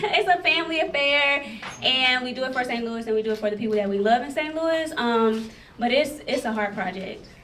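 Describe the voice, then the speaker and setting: A woman talks at a moderate pace, high-pitched with lively intonation. There's noticeable background noise and audible room echo. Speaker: festival founder, panelist. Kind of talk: panel discussion.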